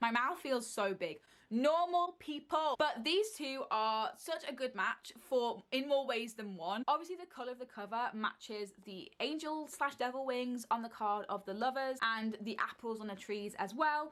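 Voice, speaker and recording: A moderate pace with lively intonation and hardly any pauses. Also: woman, high pitch for a woman. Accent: British. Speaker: book video creator. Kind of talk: casual monologue. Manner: animated.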